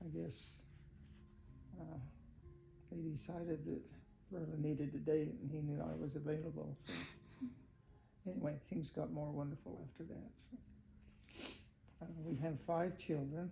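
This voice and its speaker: A man with an American accent speaks at a moderate pace in a fairly high pitch, his dark, mellow tone touched by vocal fry. His pitch variation is ordinary, with long, frequent pauses and audible room echo. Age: 80s+. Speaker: retired electrician and grandfather. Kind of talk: family interview. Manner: halting, many fillers.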